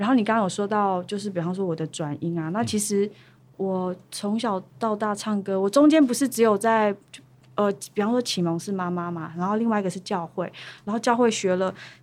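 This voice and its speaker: Fairly quick pace from a woman with a normal speaking voice, medium pitch, ordinary pitch variation, in a very clean recording with a silent background. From Taiwan, Pingtung (Paiwan). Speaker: singer-songwriter. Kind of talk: interview.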